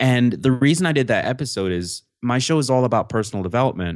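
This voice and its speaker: A man with an ordinary speaking voice at a moderate pace, ordinary pitch variation, and a quiet background. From upstate New York, small town. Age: 20s. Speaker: podcast host and self-development researcher. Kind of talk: casual interview conversation.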